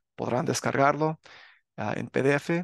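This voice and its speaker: A man's voice at a very slow pace, with a dry, close sound and no echo. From US, Los Angeles area (California). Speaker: religious teacher and author. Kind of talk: religious channel talk to viewers. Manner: casual with filler sounds.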